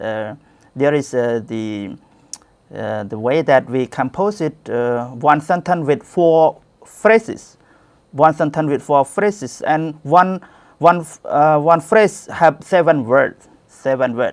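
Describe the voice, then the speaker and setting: A very slow, lively-toned man in a Cambodian accent, fairly high in pitch, on a very clean recording with a silent background. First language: Khmer. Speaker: Buddhist monk, education director. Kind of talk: conference talk. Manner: halting, many fillers.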